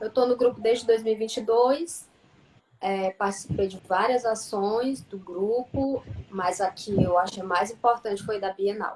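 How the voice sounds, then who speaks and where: With noticeable background noise behind her, a woman speaks at a fairly slow pace, her pitch fairly high with ordinary pitch variation. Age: 30s. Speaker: journalism student and writer. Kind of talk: casual live-stream chat. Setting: online live stream.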